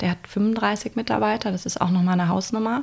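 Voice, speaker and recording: At a moderate pace, a woman speaks in an unremarkable speaking voice, her medium pitch held to fairly even intonation. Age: 30s. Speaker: lawyer and recruiter. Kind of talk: interview conversation.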